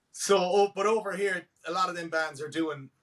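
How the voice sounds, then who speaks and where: With an Irish accent, a man speaks at a moderate pace in a high pitch with ordinary pitch variation, the sound dry and close with no echo. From Ireland. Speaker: country rock musician. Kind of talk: casual interview chat.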